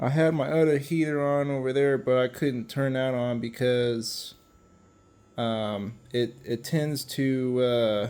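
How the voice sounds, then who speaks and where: Amid audible room echo, a man mumbles at a very slow pace and medium pitch with fairly even intonation. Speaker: car restoration hobbyist. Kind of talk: workshop vlog. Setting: cold garage shop. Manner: mumbling; halting. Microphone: muffled by face mask.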